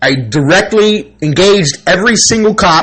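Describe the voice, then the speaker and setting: A man speaks in an animated tone at a fairly slow pace. His pitch swings very widely. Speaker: channel owner vlogger. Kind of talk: personal monologue. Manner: loud.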